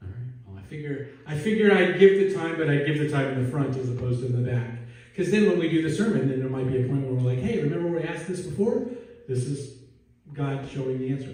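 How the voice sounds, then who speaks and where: Speaking at a very fast pace, a man with an American accent uses lively intonation and a fairly high pitch. Noticeable background noise and audible room echo fill the recording. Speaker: pastor. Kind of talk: sermon. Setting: church. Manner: casual, conversational.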